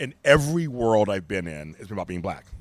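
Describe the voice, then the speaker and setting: Very wide pitch swings from a man at a fairly quick pace. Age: 50s. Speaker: multimedia creative. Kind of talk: casual chat.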